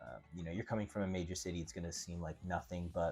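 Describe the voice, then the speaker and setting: A man speaks at a very fast pace in a very deep, low voice, with music playing in the background. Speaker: real estate agent. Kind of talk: casual screen-share walkthrough. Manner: casual, with many fillers; stumbling briefly.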